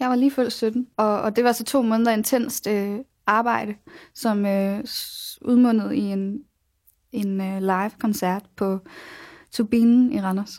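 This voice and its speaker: Using a fairly high pitch and fairly even intonation, a woman talks at a very slow pace with long, frequent pauses. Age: 20s. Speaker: pop singer-songwriter. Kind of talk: radio interview. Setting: radio studio.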